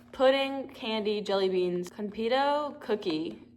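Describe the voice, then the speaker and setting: Amid noticeable background noise and audible room echo, a woman with a medium pitch speaks in an animated tone with lively intonation. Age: 20s. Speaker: vlogger. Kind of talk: casual vlog. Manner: loud.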